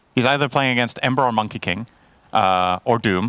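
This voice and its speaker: Delivered at a very fast pace, the voice has a bright, sharp tone and ordinary pitch variation, with a dry, close sound and no echo. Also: man. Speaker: esports analyst. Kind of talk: live commentary.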